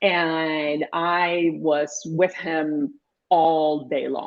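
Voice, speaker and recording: A woman with a Puerto Rican accent speaks in a fairly low voice. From Puerto Rico. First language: Spanish. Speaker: pediatrician. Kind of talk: interview conversation.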